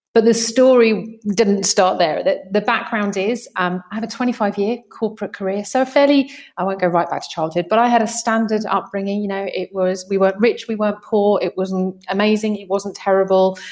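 A woman in a British accent, medium in pitch, with fairly even intonation, a moderate pace and hardly any pauses. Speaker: mindset coach. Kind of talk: interview conversation. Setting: remote call, guest in Italy.

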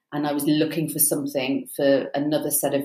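A woman's very deep, low-pitched voice at a fairly quick pace. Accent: British. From UK. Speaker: PR expert and success coach. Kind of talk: interview conversation.

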